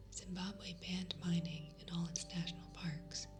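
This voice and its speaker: With music playing in the background, a soft-spoken voice talks at a moderate pace in a calm tone. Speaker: ASMR news reader. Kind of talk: relaxing news reading. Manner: soft-spoken, calm.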